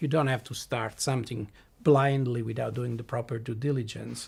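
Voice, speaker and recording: A man with an Italian accent speaks at a moderate pace. His medium pitch has vocal fry. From southern Italy. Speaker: blockchain company CEO. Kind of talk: podcast interview. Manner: halting.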